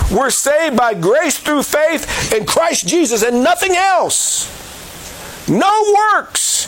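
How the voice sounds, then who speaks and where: Amid noticeable background noise, a man's extremely high voice makes very wide pitch swings at a very slow pace, with very even loudness. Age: 60s. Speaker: evangelist and jail ministry Bible teacher. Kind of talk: sermon. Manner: halting with frequent fillers.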